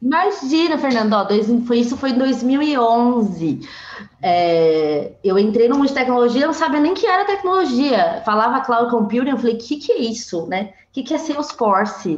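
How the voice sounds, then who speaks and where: A woman speaks at a moderate pace with high pitch and very wide pitch swings. Noticeable background noise runs behind her. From São Paulo, east zone. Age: 20s. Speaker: tech sales professional. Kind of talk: casual chat. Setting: video call.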